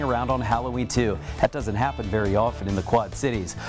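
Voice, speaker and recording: A man speaks with music in the background. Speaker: TV meteorologist. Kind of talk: TV weather forecast.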